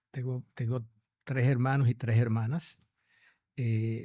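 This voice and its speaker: Speaking at a fairly slow pace, a man with a medium pitch and a dark, mellow tone keeps a fairly even intonation over a very clean recording with a silent background. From Dominican Republic, Santo Domingo. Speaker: gastroenterologist. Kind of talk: interview. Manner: halting, many repetitions.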